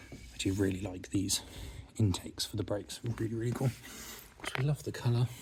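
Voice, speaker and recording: Speaking with an English accent, a man talks at a fairly quick pace in a fairly low pitch. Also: ordinary pitch variation. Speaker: car restorer and video host. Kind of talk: tutorial-style vlog walkthrough. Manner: casual.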